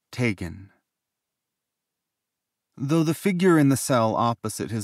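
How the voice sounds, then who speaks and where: A man speaks on a very clean recording with a silent background, dry and close with no echo. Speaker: audiobook narrator. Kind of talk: audiobook narration.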